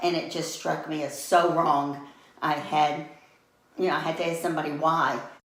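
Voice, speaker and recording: In a Southern US accent, a woman speaks with a very deep, low pitch and flat monotone. Audible room echo surrounds her voice. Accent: Southern American. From US South, Atlanta. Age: 70s. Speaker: interviewee, retiree. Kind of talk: interview.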